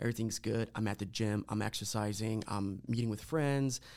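Ordinary pitch variation and a fairly quick pace in a man's a plain, everyday voice, medium in pitch. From Lorain County, Ohio, Puerto Rican family. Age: 30s. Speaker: guest sharing mental health story. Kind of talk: casual interview, personal testimony.

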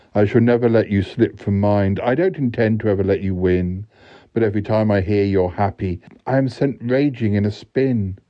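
Pitch rises and falls in an ordinary way across this natural reading voice.

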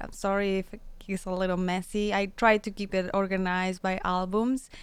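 With a Spanish accent, a woman speaks at a medium pitch on a very clean recording with a silent background. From Mexico, San Luis Potosi. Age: 30s. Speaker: radio show host and wellness teacher. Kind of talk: casual interview. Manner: halting.

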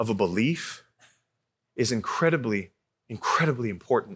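This man's intonation is lively. He has an American accent. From Arizona. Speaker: youth pastor. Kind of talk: sermon.

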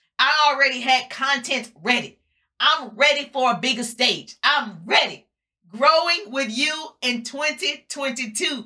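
At a very slow pace, a woman uses a raised, projected voice with high pitch, ordinary pitch variation, and a tone that is warm and upbeat as well as bright and sharp. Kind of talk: motivational pep talk, live social-media rally. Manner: rousing, emphatic and fired-up, with punchy repeated slogans and call-and-response; warm, upbeat and preacher-like, addressing the audience as 'my people'.

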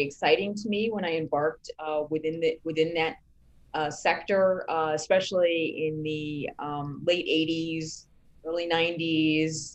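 A woman with a very deep, low pitch and an American accent. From New York. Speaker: media company founder and editor. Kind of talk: interview.

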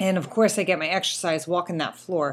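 Here is a woman with a plain, everyday voice. Her pitch is fairly low, with ordinary pitch variation. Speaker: quilting podcaster and teacher. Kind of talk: casual solo chat. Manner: casual with frequent fillers.

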